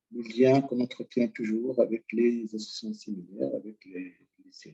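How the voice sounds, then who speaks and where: The tone is dark and mellow, delivered at a fairly slow pace. The sound is dry and close with no echo. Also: man. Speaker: retired education inspector, association president. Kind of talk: presentation talk. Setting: online teleseminar.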